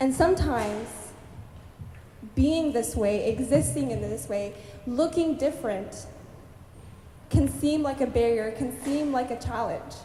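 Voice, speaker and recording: Over music in the background, a high-pitched woman speaks fairly slowly with lively intonation and long, frequent pauses. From Abbotsford, British Columbia, Canada. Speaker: spoken word artist and writer. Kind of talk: conference talk to a student audience.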